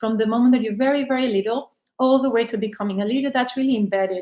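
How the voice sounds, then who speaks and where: Speaking with a Spanish accent, a woman has a fairly high pitch. Her pitch varies in an ordinary way. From Spain. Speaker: business leader. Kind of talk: podcast monologue.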